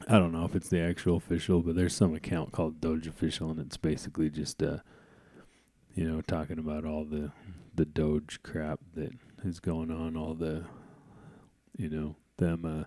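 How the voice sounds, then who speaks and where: Using a very deep, low pitch and a dark, mellow tone, a man moves at a moderate pace with long, frequent pauses. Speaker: podcast host. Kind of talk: casual vlog commentary. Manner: unexcited, flat; halting with fillers.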